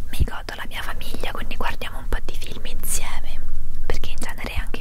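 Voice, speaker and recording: Loud background noise sits under a woman speaking at a fairly quick pace. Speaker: vlogger. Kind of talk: casual vlog chat. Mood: relaxed, cheerful. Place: home room. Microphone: handheld.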